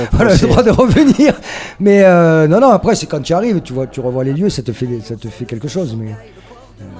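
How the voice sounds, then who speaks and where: Over background music, a man with a fairly high pitch talks at a moderate pace, his pitch swinging very widely and his loudness rising and falling sharply. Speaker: musician in a band. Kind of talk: casual interview. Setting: radio interview at a festival. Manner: hesitant, many fillers.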